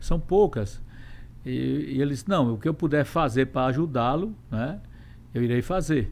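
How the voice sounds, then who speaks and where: A man with fairly high pitch speaks at a moderate pace, using lively intonation and long, frequent pauses. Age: 60s. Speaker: state legislature president, politician. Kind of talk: interview.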